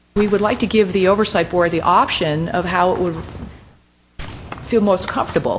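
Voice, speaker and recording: With audible room echo, a woman with a medium pitch talks at a moderate pace and ordinary pitch variation. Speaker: city community development director. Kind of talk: public meeting staff report. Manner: halting, many fillers.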